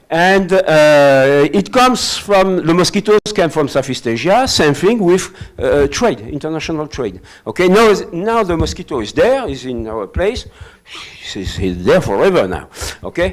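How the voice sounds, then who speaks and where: A man with a French accent speaks at a high pitch and a moderate pace, his voice making very wide pitch swings. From France. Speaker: professor. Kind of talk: lecture. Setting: hybrid webinar. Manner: halting.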